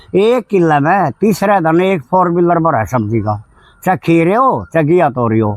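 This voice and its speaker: The sound is dry and close with no echo as a man speaks at a high pitch with very wide pitch swings. His loudness stays very even. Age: 60s. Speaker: village environmentalist, tree planter. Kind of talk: interview.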